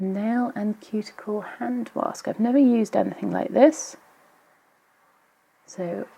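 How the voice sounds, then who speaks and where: A quiet woman's voice, lively in intonation, at a fairly slow pace. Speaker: nail polish YouTuber. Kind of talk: casual unboxing talk to camera. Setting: traffic noise in background. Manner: a bit quiet in places.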